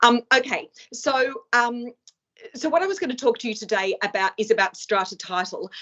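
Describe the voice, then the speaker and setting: With an Australian accent, this voice shows ordinary pitch variation. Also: woman. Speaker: law professor. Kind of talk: lecture. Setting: video call. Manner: fast.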